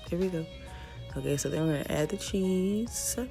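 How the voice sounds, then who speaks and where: A woman talks in a relaxed tone. Music plays in the background. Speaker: mom lifestyle vlogger. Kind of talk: casual cooking tutorial to camera. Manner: relaxed, chatty.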